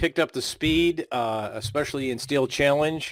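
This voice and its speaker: On a very clean, dry, close recording with a silent background and no echo, a man with an American accent speaks in an unremarkable speaking voice at a medium pitch and moderate pace, with ordinary pitch variation. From Buffalo, New York. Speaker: podcast host. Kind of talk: podcast interview.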